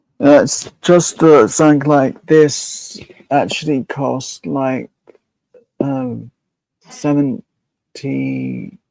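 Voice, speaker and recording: A very slow delivery with a British accent. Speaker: content creator. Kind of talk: casual chat.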